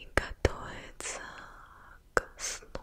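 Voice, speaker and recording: A soft-spoken woman whispering, dry sound with no echo. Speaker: ASMR creator. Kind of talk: soft ASMR whispering to viewer. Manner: soft slow ASMR whisper. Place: home room. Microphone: studio mic.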